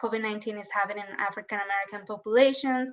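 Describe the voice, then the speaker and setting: The speaker has a Colombian accent and a fairly even intonation. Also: woman. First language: Spanish. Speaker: human rights official. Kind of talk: legislative testimony.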